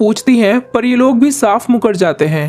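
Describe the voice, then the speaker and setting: Noticeable background noise sits behind the speaker. He is a man with a high-pitched voice. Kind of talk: movie plot recap narration.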